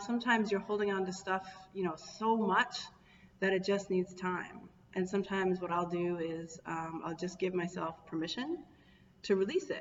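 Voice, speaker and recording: A woman of medium pitch at a moderate pace, with ordinary pitch variation and noticeable background noise. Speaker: wellness coach. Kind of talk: live stream talk. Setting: Facebook live video.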